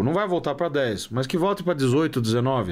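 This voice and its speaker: Speaking in a plain, everyday voice, a man with a fairly high pitch keeps a moderate pace. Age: 30s. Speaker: economist. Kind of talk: interview.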